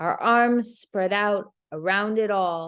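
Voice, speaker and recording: A woman's medium-pitched voice at a very slow pace, with ordinary pitch variation, against a quiet background. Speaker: poet. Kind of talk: poetry reading.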